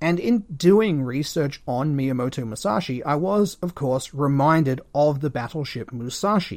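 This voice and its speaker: Barely pausing, a man with an Australian accent talks at a moderate pace and fairly high pitch with lively intonation, on a very clean recording with a silent background. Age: 30s. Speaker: history podcaster. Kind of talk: solo history monologue. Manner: casual, conversational.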